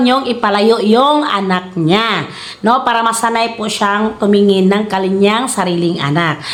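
A Philippine accent at a fairly slow pace with ordinary pitch variation and hardly any pauses, amid audible room echo and noticeable background noise. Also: woman. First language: Cebuano (speaking Tagalog). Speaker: YouTuber and hog farmer. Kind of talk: casual tutorial vlog. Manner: halting, stumbling over words; laughs often.

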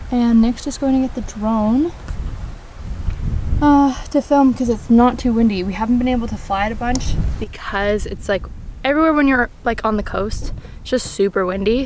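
A woman with a high pitch and ordinary pitch variation talks at a moderate pace with long, frequent pauses, the sound dry with no echo and light background noise behind her. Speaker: travel vlogger. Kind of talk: casual vlog chat. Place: open country. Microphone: phone near.

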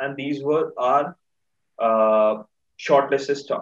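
Against a quiet background, a man with an Indian accent talks at a fairly high pitch with ordinary pitch variation. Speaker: market chat show host. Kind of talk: casual chat. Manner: animated. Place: home room. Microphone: video call.

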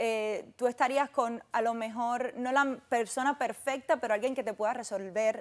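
A woman with a fairly high pitch and ordinary pitch variation speaks with hardly any pauses and big swings in loudness. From Cuba. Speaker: fashion model; guest. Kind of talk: interview. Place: studio. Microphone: lapel.

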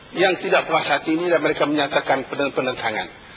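Noticeable background noise is present. Over it, a man speaks fairly quickly. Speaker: member of parliament. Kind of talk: parliamentary debate. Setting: parliament chamber.

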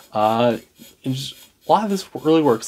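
A man's medium-pitched voice at a fairly quick pace. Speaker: food reviewer. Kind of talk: casual food review to camera. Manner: fast-talking. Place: home room.

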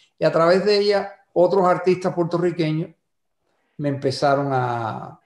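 A man with a high pitch speaks with lively intonation and long, frequent pauses. The background is quiet, but there is audible room echo. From Cuba, Cárdenas (Matanzas); Cuba. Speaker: songwriter; guest. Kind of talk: interview. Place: home room. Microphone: video call.

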